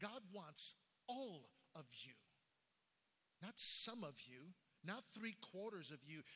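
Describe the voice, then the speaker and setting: A man with an American accent speaks in a raised, projected voice that is high, bright and sharp, with very wide pitch swings. His pace is very slow, broken by long, frequent pauses. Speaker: pastor. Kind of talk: sermon. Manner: fervent, emphatic preacher's cadence, repeating key phrases for emphasis; animated storytelling, with shocked, incredulous tone when recounting the news.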